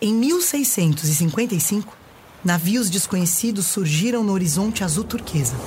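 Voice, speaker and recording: Noticeable background noise behind a woman of medium pitch at a very slow pace, with lively intonation. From Brazil. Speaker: actress and storyteller. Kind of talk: reading aloud.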